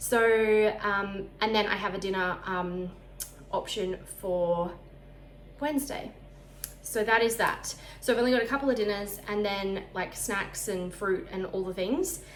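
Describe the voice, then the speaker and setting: There is audible room echo as a woman with an Australian accent speaks with ordinary pitch variation. She leaves long, frequent pauses. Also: medium pitch for a woman, fairly slow pace. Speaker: lifestyle vlogger. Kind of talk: casual vlog talk. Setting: at home.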